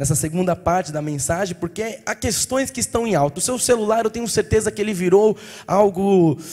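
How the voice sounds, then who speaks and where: A man speaks with ordinary pitch variation. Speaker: pastor. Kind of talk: sermon. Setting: church. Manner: fast.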